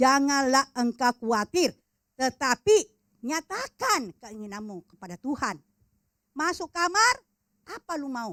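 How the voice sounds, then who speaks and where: A woman speaks very slowly at a high pitch in a bright, sharp tone, with very wide pitch swings and big swings in loudness. The recording is very clean and dry, close with no echo, over a silent background. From Makassar, Sulawesi, Indonesia. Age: 70s. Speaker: preacher. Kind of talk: sermon.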